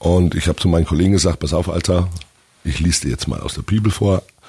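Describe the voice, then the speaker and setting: In a very deep, low voice with a dark, mellow tone and vocal fry, a man talks at a very fast pace with fairly even intonation. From Franconia, Germany. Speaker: metal band singer. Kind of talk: casual interview. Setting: studio.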